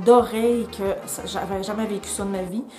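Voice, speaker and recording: In a Quebec accent, a woman speaks at a fairly high pitch in an animated tone, with music in the background and audible room echo. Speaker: travel vlogger. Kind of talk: casual vlog talk to camera. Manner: fast.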